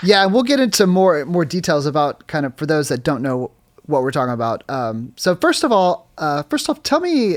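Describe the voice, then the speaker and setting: This man has a plain, everyday voice and talks at a moderate pace. The recording is very clean, with a silent background. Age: 30s. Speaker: podcast host and musician. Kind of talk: podcast interview.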